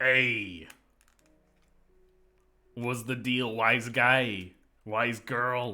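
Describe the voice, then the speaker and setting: In a put-on character voice with a New York accent, the speech sits at a low-to-middle pitch and moves at a very slow pace, with long, frequent pauses. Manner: tough, gruff.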